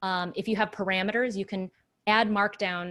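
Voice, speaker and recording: A woman with an ordinary speaking voice talks at a moderate pace and medium pitch, her intonation fairly even, in a very clean recording with a silent background. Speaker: developer relations speaker. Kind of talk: technical presentation with live demo.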